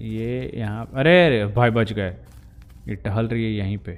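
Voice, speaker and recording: A man's voice with a fairly low pitch. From Jharkhand, India. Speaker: gaming YouTuber. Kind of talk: gameplay commentary. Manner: animated.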